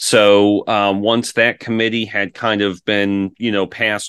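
Over a quiet background, a man with a plain, everyday voice talks at a fairly slow pace with fairly even intonation. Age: 30s. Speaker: insurance broker. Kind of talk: interview.

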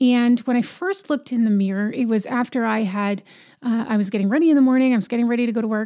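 A woman talks at a very fast pace in a fairly high pitch, her tone dark and mellow, with ordinary pitch variation and very even loudness, on a very clean recording with a silent background. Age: 40s. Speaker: podcast host. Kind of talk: solo monologue podcast.

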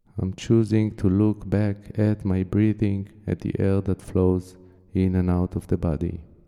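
With music in the background, a man speaks fairly slowly in a calm, soothing tone at a fairly low pitch. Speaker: meditation guide. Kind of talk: guided meditation. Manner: slow, calm, soothing with long pauses; gentle, soft-spoken.

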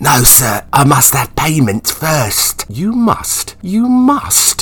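Against noticeable background noise, a man speaks in a pompous tone with very wide pitch swings. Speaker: audio drama narrator and actor. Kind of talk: dramatic narration of a period audio drama, with wry asides and character voices. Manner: arch, mock-pompous voice for Marlowe.

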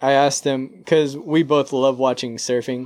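Speaking with an American accent, a man keeps a fairly slow pace. His pitch is fairly high and his intonation fairly even. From San Diego, California. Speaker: actor. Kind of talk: casual chat.

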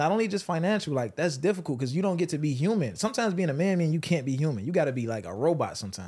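Recorded very cleanly with a silent background, a man talks very fast in a high voice with lively intonation. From Chicago. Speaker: podcaster. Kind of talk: casual chat.

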